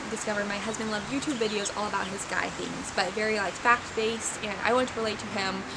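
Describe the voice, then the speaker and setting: Noticeable background noise and audible room echo surround a soft-spoken woman with a fairly high pitch who talks at a very fast pace. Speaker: small business owner and hobby painter vlogger. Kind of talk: casual vlog talk to camera. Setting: outdoors in backyard. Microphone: no mic, quiet recording.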